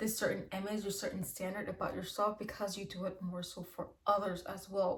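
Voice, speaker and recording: Fairly even intonation in a woman's somewhat breathy voice at a medium pitch. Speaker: tarot reader. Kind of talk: tarot reading monologue. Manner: fast; casual, filler-heavy.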